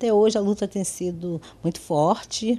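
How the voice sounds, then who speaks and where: A woman speaks in a dark, mellow tone. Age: 70s. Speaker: quilombo community member; interviewee. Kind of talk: news interview soundbite. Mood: earnest, proud of the struggle. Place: home room. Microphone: handheld.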